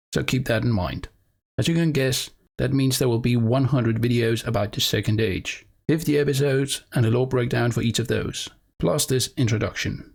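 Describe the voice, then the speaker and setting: A man speaks with a non-native accent at medium pitch, somewhat breathy, at a moderate pace with fairly even intonation. His loudness stays very even, and the recording is very clean with a silent background. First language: not English. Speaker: lore YouTuber. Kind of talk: video monologue about a planned series.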